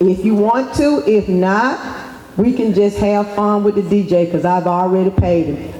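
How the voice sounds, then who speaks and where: A moderate pace against noticeable background noise. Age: 50s. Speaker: youth nonprofit founder. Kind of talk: speech to students. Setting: school assembly.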